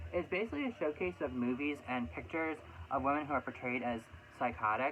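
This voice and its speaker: Very wide pitch swings fill a man's fairly quick speech, with music in the background. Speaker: vlogger. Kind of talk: casual chat. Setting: home room. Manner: fast.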